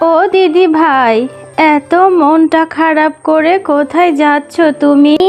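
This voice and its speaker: A woman puts on a cartoonish character voice at an extremely high pitch and very slow pace, with clear music in the background. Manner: soft, affectionate.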